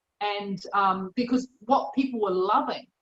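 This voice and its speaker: A woman with a New Zealand accent, very slow pace and ordinary pitch variation. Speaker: chef and cookbook author. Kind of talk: interview answer. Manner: casual, conversational.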